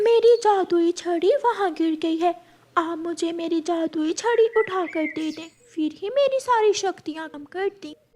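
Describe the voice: Delivered at a moderate pace, the voice is a cartoonish character voice. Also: female-sounding voice, extremely high pitch for a woman.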